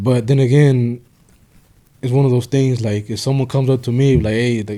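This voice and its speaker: This man has an American accent, a medium pitch, a dark, mellow tone, and fairly even intonation at a moderate pace. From Mexico and the United States. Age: 30s. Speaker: former gang member and hemp shop owner. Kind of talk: casual interview. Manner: halting, many repeated words and fillers.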